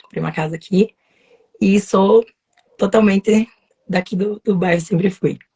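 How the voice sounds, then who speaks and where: Speaking at a moderate pace with long, frequent pauses, a woman with a medium pitch has a dark, mellow, somewhat breathy tone in a dry, close recording with no echo. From southern Brazil, Paraná (União da Vitória). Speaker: lawyer. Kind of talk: casual interview. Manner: talkative, energetic.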